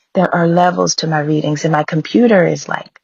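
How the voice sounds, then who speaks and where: Her voice fairly low and somewhat breathy, a woman talks at a moderate pace. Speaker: tarot reader. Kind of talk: casual chat to viewers. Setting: at home. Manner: animated.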